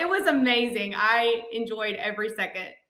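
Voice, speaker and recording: Audible room echo surrounds a woman speaking at a moderate pace, her voice fairly high and bright and sharp. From Alabama (Montgomery). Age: 30s. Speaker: counselor and coach's wife. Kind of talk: casual interview chat. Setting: podcast interview.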